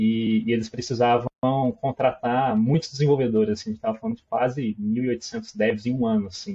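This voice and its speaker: A man with a Minas Gerais accent talks at a fairly quick pace. His voice sits at a medium pitch with a dark, mellow tone. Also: fairly even intonation. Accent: mineiro accent, noticeable. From Minas Gerais, Brazil. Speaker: product manager. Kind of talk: casual interview chat.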